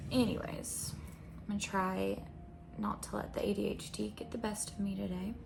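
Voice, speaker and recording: Soft-spoken, a woman with an American accent talks at a moderate pace amid noticeable background noise and audible room echo. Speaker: spiritual content creator. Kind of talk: intuitive reading monologue. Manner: hesitant.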